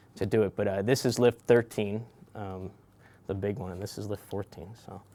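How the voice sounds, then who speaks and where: A man with an American accent and a dark, mellow tone, fairly low in pitch, at a moderate pace with fairly even intonation and big swings in loudness. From US West Coast, San Francisco Bay Area. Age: 30s. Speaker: bridge engineer. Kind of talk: interview. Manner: halting, many repetitions and fillers.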